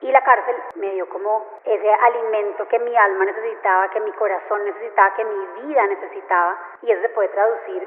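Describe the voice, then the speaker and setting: Noticeable background noise accompanies a woman speaking fairly quickly at a medium pitch. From Colombia. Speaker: former actress, prison reform activist. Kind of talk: interview answer.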